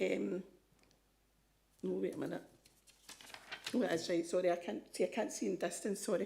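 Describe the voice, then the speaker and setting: A woman with a Scottish accent talks at a fairly quick pace and medium pitch, with long, frequent pauses. Her tone is dark and mellow, with vocal fry. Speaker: advice charity representative. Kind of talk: presentation to council committee. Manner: hesitant, many ums.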